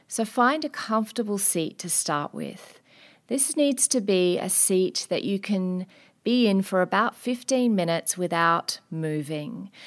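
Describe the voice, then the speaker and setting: With lively intonation and a fairly slow pace, a woman uses a normal speaking voice at medium pitch on a very clean recording with a silent background. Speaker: wellness podcast host and meditation instructor. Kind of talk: guided meditation. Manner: slow, calm, soothing; gentle, unhurried, with long pauses.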